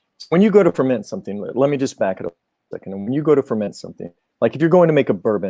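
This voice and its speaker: A man speaks with a Georgia accent, recorded dry and close with no echo. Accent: Southern US (Georgia), self-noted. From Georgia, US South. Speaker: Japanese whisky importer representative. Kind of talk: live-stream Q&A explanation. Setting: live stream video call. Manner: halting, many repetitions.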